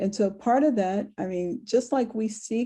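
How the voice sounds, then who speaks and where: A woman speaks at a medium pitch with a dark, mellow tone, somewhat breathy, and ordinary pitch variation. The background is quiet. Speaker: sales trainer and speaker. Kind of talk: webinar presentation. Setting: virtual event.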